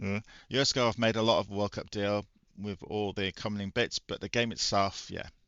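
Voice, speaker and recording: Quietly, a man with a British accent speaks. His pace is fairly quick. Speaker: retro gaming YouTuber. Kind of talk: casual gaming review talk. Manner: quiet, low volume.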